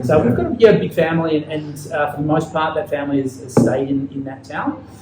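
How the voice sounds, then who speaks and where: A man with an Australian accent, noticeable background noise behind him. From Australia, Ballarat near Melbourne. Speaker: podcast host, physiotherapist. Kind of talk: interview, casual chat. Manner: many filler words and hesitations.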